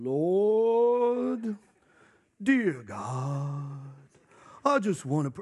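In a put-on character voice at a middle pitch, the speaker goes at a very slow pace with very wide pitch swings over a quiet background. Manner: solemn prayerful.

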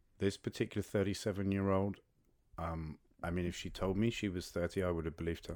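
A man speaks very fast with a London accent in a very deep, low pitch. His intonation is monotone and flat, and the recording is very clean with a silent background. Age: 40s. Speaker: podcast guest on dating. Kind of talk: casual interview. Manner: halting.

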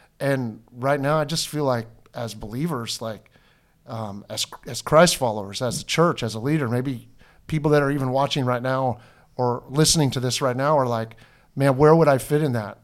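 With ordinary pitch variation, a man delivers his words at a medium pitch and a moderate pace. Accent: Pacific Northwest. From Washington State, Snohomish County. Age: 50s. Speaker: pastor. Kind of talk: casual chat.

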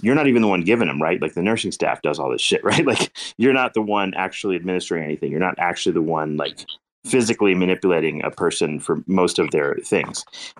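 A man talks at a very fast pace. His pitch is very deep and low, with ordinary variation. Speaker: doctor who trains medical students. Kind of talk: casual group discussion. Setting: online audio chat room. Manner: halting, many filler words.

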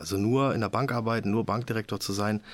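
A man's fairly low voice at a very fast pace, over noticeable background noise. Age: 50s. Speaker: handball club managing director. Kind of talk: casual interview.

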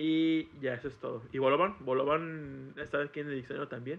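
The pace is neither fast nor slow. An accent that is Mexican comes through. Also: man. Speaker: podcast guest. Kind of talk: casual chat. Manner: animated.

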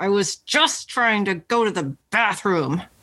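A put-on character voice from a female-sounding speaker, rumbling at a medium pitch and a fairly slow pace. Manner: clenched teeth; grumbling.

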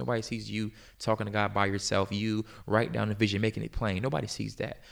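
In an American accent, a man with a fairly low voice and vocal fry talks at a very fast pace with fairly even intonation. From US South, Virginia (Hampton Roads). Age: 20s. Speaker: nonprofit founder. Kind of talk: interview testimony.

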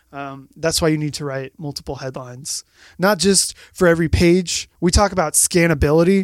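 With an energetic tone, a man speaks at a moderate pace, showing ordinary pitch variation and big swings in loudness. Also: fairly high pitch for a man, dry, close sound with no echo. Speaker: marketing guest expert. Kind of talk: casual chat. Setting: studio.

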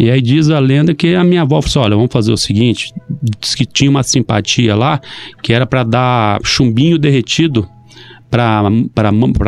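A man at medium pitch, with ordinary pitch variation and a moderate pace, over music in the background. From Brazil, Maringá (Paraná). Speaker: mayor. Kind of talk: casual interview. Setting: radio studio.

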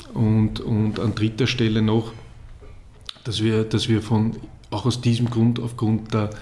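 Fairly slow, somewhat breathy delivery from a male speaker at a middle pitch. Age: 40s. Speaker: football league executive. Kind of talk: interview.

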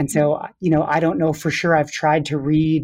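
Fairly high-pitched man with an American accent, at a moderate pace over a quiet background. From US Midwest, Wisconsin. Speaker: dance professor. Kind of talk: interview.

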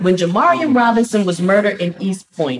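Here a woman speaks at a medium pitch. Her intonation is lively. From US South, Southeast Atlanta. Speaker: pastor and community activist. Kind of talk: interview.

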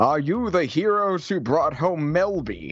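This is a put-on character voice with lively intonation. It moves at a fairly slow pace over a quiet background. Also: man. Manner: stern yet friendly, fatherly.

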